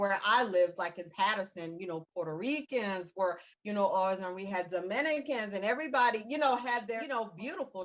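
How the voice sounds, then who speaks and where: A woman talks at a fairly quick pace with lively intonation and a medium pitch. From South Carolina, US South. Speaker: web series host. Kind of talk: casual interview chat.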